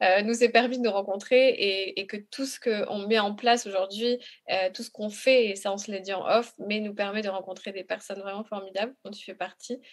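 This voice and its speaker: Her delivery is monotone and flat, at a moderate pace, with big swings in loudness. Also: medium pitch for a woman. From Congo. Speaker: patient advocate. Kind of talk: testimony.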